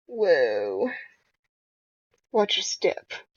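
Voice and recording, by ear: The put-on character voice sounds gravelly and raspy.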